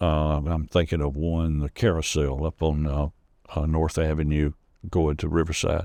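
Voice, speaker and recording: Over a quiet background, a man with a Southern accent speaks in a very deep, low pitch with a dark, mellow tone and fairly even intonation. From US South, Rome, Georgia. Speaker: storyteller. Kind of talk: interview storytelling. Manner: halting.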